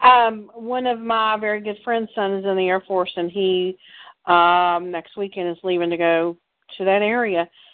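This woman has an unremarkable speaking voice at a medium pitch. Her pace is moderate and her intonation fairly even. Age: 60s. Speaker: political activist co-host. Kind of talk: casual chat. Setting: call-in show.

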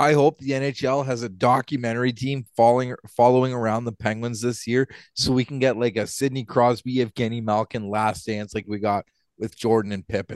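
At a fairly quick pace, a man with a Canadian accent uses an ordinary speaking voice at a medium pitch, in a dry, close sound with no echo. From Ontario, Canada. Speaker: podcast co-host, hockey game official. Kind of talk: casual chat.

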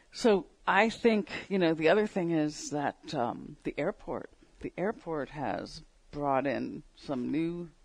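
With an American accent, the speaker goes at a very slow pace, the intonation lively. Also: woman, fairly low pitch for a woman. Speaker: radio host. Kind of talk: casual radio interview.

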